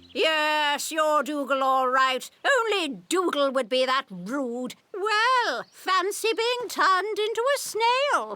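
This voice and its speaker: In a high-pitched cartoonish character voice with very wide pitch swings, the speaker talks at a very slow pace with hardly any pauses. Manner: gushing, theatrical.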